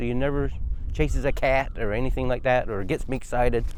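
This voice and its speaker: The speech moves at a moderate pace, with room echo audible. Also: man. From Newfoundland, Burgeo. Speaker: military veteran. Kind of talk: interview. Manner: halting, many fillers.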